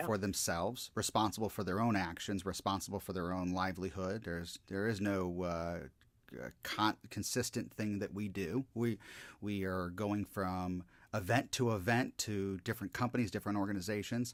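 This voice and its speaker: In a normal speaking voice, a man with a fairly low pitch talks at a moderate pace with fairly even intonation, the recording very clean against a silent background. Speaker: motivational speaker and hypnotist. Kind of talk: podcast interview host.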